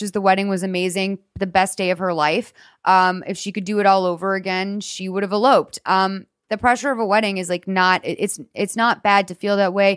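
On a very clean recording with a silent background, a woman with a Boston accent speaks at a fairly quick pace and medium pitch. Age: 30s. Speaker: podcast host. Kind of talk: casual advice chat.

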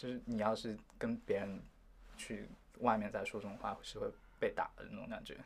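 The speech moves at a moderate pace with a slight Taiwanese accent. Long pauses come often. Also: man. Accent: slight Taiwanese feel in his Mandarin. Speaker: university student. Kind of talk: interview.

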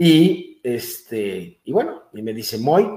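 A man speaks with very wide pitch swings. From Mexico. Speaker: chiropractor and messianic congregation leader. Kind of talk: interview testimony. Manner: animated.

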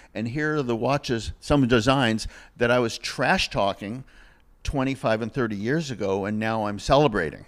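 Heard in a very clean recording with a silent background, a plain, everyday voice talks at a moderate pace with ordinary pitch variation. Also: man, medium pitch for a man. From US Northeast (Massachusetts). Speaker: vintage watch dealer. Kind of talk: casual interview.

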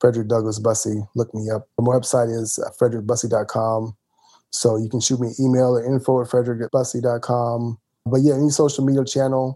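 Delivered at a fairly quick pace, the speech has a dark, mellow tone and an American accent. The intonation stays monotone and flat. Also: man, medium pitch for a man. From US South, rural Mississippi. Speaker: business coach and author. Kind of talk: casual interview.

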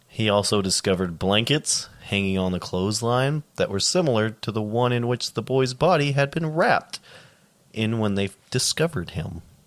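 A man with an ordinary speaking voice, moderate pace, medium pitch and lively intonation. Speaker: podcast co-host. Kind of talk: casual banter with dark humor, occasionally reading case notes.

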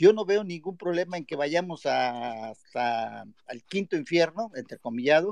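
In a dry, close recording with no echo, a man with a normal speaking voice talks at a fairly high pitch and moderate pace with lively intonation. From Mexico, Guerrero (Acapulco). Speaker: caller. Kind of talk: casual chat.

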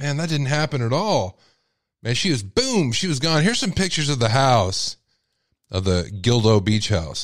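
Speaking with a Texas accent, a man of medium pitch has an animated tone, very wide pitch swings and a moderate pace. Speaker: radio host. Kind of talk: live call-in radio show.

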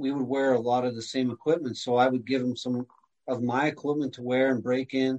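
Flat, monotone intonation runs through speech delivered at a fairly quick pace. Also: man, medium pitch for a man. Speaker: former goalie, whiskey distiller. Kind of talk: casual interview.

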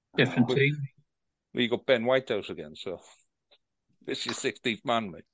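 A man with a Welsh accent at a medium pitch, fairly quick pace, lively intonation, vocal fry, big swings in loudness and long, frequent pauses. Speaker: podcast host. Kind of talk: angry rant about refereeing. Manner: heated, indignant, loud, sweary.

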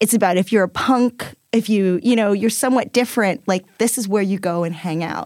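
This woman has an ordinary speaking voice at medium pitch, with ordinary pitch variation. She talks fairly quickly. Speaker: podcast co-host. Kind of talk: casual chat.

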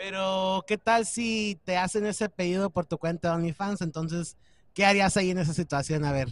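The sound is dry and close with no echo as a man with a high voice speaks at a moderate pace with ordinary pitch variation. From Mexico, Michoacán. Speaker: podcast host. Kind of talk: casual interview.

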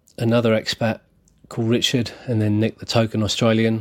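A man with a southern English accent and a fairly low pitch, speaking at a fairly quick pace in monotone, flat intonation, on a very clean recording with a silent background. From southern England, Berkshire. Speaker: football supporters club secretary. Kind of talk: pre-recorded fan story, read aloud.

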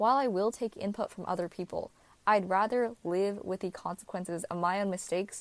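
A normal speaking voice from a woman, medium in pitch with ordinary pitch variation, at a fairly quick pace. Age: young. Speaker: college student. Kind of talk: prepared testimony.

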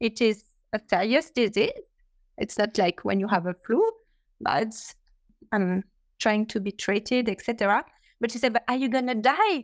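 This woman has a French accent and a fairly high voice with ordinary pitch variation, talking at a moderate pace. The sound is dry and close with no echo, and she leaves long, frequent pauses. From France. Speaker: cancer patient and parent. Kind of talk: support group discussion. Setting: video call.

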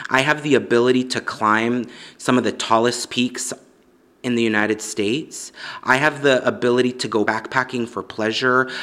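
A man with an American accent has a medium pitch and a bright, sharp tone. He keeps a moderate pace and fairly even intonation. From Los Angeles, US. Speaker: mountaineer and activist. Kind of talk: interview testimony.

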